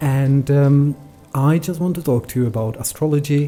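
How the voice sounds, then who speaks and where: Over noticeable background noise, a man with a Czech accent talks at a fairly slow pace, his pitch fairly high and his intonation fairly even. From Czech Republic, then London. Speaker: astrology podcaster. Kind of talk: casual podcast monologue. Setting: at home with cat on lap. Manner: hesitant, many fillers.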